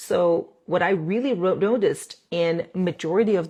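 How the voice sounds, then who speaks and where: A woman speaks with a non-native accent at a fairly low pitch. The recording is very clean, with a silent background. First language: not English. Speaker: dentist doing airway and jaw treatment. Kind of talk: live stream talk to viewers. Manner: halting, with restarts and fillers.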